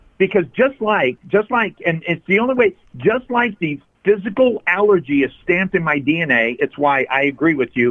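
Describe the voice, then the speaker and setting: A man speaks at a moderate pace with a high pitch and very wide pitch swings. His loudness stays very even. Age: 60s. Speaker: addiction recovery coach. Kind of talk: interview. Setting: phone call.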